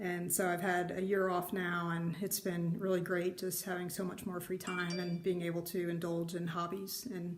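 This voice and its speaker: A woman speaks at a moderate pace with an American accent. Her intonation is monotone and flat, with audible room echo. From US Northeast, New Jersey shore. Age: 50s. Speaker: retired IT worker, needlework vlogger. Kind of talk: casual vlog introduction. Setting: home craft room. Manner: hesitant, many fillers.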